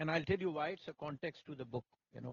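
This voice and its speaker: A somewhat breathy man's voice with a Pakistani accent, fairly high pitch and ordinary pitch variation. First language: Urdu. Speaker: company CEO and author. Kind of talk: interview at book launch. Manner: halting. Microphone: problem with the mics.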